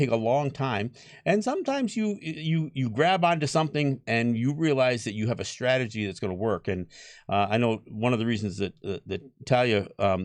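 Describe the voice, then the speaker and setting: A man speaks with an American accent at a medium pitch. His pace is moderate, and his pitch swings very widely. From Mohawk Nation, New York State area. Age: 60s. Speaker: Native activist and radio/podcast host. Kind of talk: panel discussion.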